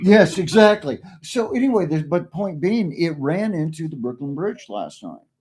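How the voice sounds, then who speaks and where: This man speaks with an Oklahoma accent at a high pitch and a moderate pace, with lively intonation. His loudness swings widely and he hardly pauses at all. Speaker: streamer. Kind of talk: casual chat. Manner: halting.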